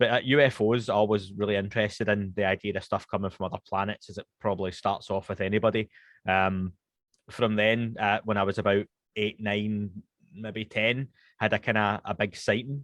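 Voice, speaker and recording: A Scottish-accented man with a fairly low pitch and monotone, flat intonation. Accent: Scottish, toned down to be slower and posher. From Scotland, Glasgow west end. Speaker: podcast host (guest here). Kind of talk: casual interview chat. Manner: fast when speaking Scots.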